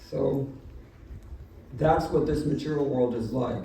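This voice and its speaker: Audible room echo surrounds a man whose fairly high voice carries an American accent. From Southern California. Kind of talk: sermon. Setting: home gathering with audience.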